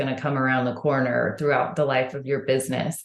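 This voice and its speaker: A woman speaks with an American accent. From Texas, Houston. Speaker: franchise marketing executive. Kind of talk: podcast interview.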